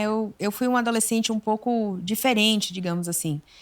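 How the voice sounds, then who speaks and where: The recording is very clean, with a silent background. A woman speaks with a Bahian accent in a fairly high voice. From Bahia, Brazil. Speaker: psychologist. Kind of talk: interview chat.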